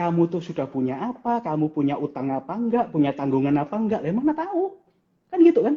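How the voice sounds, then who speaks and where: Talking at a very fast pace, a man with a high pitch swings his voice very widely up and down. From Java, Indonesia. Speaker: financial planner. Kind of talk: casual live-stream interview. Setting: Instagram live stream. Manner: animated.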